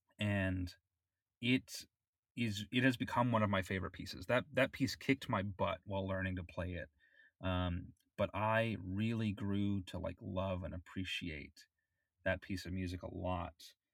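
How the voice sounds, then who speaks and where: In an American accent, the speaker keeps fairly even intonation at a moderate pace with long, frequent pauses, on a very clean recording with a silent background and a dry, close sound with no echo. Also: man, fairly low pitch for a man. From Florida. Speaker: podcast co-host and amateur musician (saxophone, clarinet). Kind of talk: casual chat.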